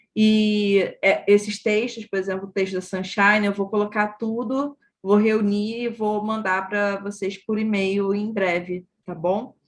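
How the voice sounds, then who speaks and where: At a fairly slow pace, a woman speaks in a Rio de Janeiro accent with fairly even intonation. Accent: carioca. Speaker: course teacher. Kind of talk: online class.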